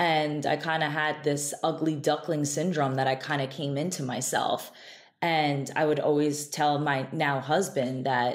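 In an American accent, a woman speaks slowly in a flat monotone with a very deep, low pitch. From Israel, then upstate New York. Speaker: beauty entrepreneur, esthetician. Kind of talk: interview conversation.

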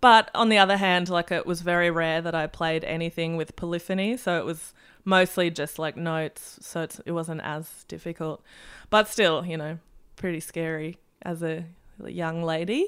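A woman speaks with an Australian accent at a fairly low pitch and moderate pace. Her intonation is fairly even, and the recording is very clean with a silent background. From Germany, then Melbourne, Australia. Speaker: musician. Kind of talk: casual chat.

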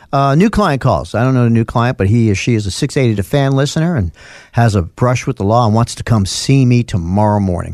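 On a very clean recording with a silent background, a man with a New York accent speaks at a fairly quick pace and a medium pitch with lively intonation. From US Northeast, North Bronx, New York. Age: 60s. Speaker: lawyer. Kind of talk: casual chat.

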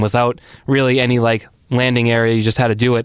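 Using a normal speaking voice, a man talks at a moderate pace with an American accent. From Arlington, Massachusetts. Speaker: podcast host. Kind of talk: casual interview chat.

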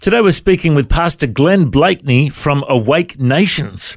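This man has a normal speaking voice at a fairly high pitch. He talks at a fairly quick pace with lively intonation. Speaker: radio podcast host. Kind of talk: casual interview.

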